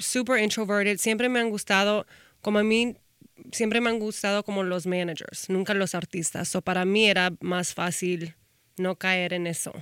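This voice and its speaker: Here a woman speaks in an ordinary speaking voice at a medium pitch. Her intonation stays fairly even. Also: moderate pace. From Texas, Austin. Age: 30s. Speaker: talent manager and influencer. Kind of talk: casual interview.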